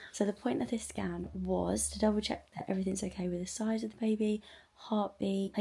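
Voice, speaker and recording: Putting on a raspy character voice, a woman speaks quietly at a medium pitch. Her pace is fairly quick. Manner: quiet, hushed.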